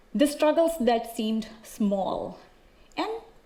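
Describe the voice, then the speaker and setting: With an American accent, a woman talks at a fairly slow pace and fairly high pitch with ordinary pitch variation, amid noticeable background noise and audible room echo. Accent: Indian English adapted toward American. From India. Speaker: speaker sharing personal story. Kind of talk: prepared public talk. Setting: auditorium stage with audience.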